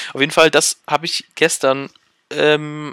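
A man's fairly high, bright, sharp voice at a fairly slow pace, dry and close with no echo. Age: 20s. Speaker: podcaster and university student. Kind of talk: casual solo monologue. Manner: hesitant, many filler sounds.

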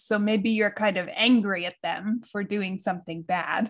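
This woman has an unremarkable speaking voice with an American accent. Her pitch sits fairly high, and she keeps a moderate pace. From United States. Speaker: podcast co-host. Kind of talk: casual chat. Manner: laughs often.

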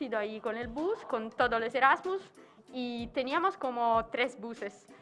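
A woman speaks at a high pitch with an Italian accent. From southern Italy, Caserta province. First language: Italian (speaking Spanish). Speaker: former Erasmus student. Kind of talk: casual chat.

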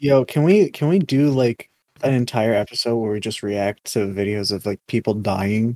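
Quiet and at a moderate pace, a man speaks. His medium pitch shows ordinary variation. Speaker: podcast co-host. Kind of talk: casual chat.

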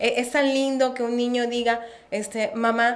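A woman speaks with a Colombian accent, and the room echo is audible. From Colombia, Barranquilla (Caribbean coast). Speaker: preschool educator. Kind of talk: casual chat.

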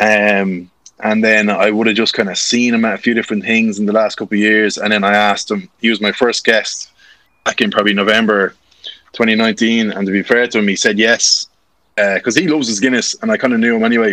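With a Dublin accent, a man with a fairly low pitch and a bright, sharp tone talks fairly quickly in a flat monotone at very even loudness. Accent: Irish, near-Dublin. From Ashbourne, Co. Meath, Ireland. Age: 20s. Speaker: content creator. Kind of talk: casual interview chat.

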